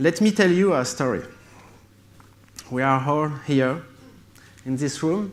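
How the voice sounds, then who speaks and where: A man's fairly high voice in a French accent, fairly slow, with audible room echo. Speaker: tech company founder. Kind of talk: conference keynote. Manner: halting.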